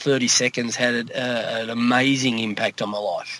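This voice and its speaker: With noticeable background noise behind him, a man with an Australian accent talks at a medium pitch with fairly even intonation. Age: 50s. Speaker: coach. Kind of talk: testimony. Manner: halting.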